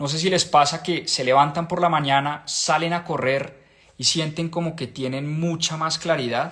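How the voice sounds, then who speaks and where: At a moderate pace, a man with a fairly high pitch speaks in an animated tone. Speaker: book club host. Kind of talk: live stream book discussion. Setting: live stream.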